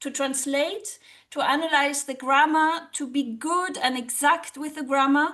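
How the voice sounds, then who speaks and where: A woman with a German accent speaks at a fairly slow pace, her high-pitched voice bright and sharp in tone, with fairly even intonation. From Germany. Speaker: social psychologist and language teacher. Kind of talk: interview.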